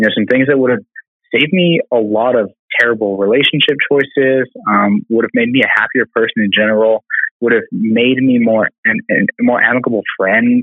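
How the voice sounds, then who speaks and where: This man has an unremarkable speaking voice, medium in pitch, with ordinary variation and a moderate tempo. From US Southwest, Albuquerque, New Mexico. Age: 20s. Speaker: PhD student and biotech founder. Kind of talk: casual interview.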